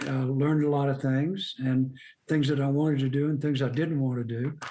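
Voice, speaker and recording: Speaking at a moderate pace with an American accent, a man holds a monotone, flat intonation at a fairly high pitch. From US South, Birmingham, Alabama. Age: 80s+. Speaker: outdoor writer. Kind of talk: interview.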